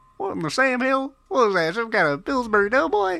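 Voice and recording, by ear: A put-on character voice with a fairly high pitch rattles along at a fairly quick pace.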